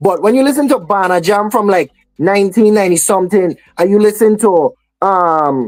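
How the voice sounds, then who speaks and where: A woman speaks at a moderate pace with a Virgin Islands accent. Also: medium pitch for a woman, lively intonation, very even loudness. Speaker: soca artist. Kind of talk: radio interview. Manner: halting, many fillers.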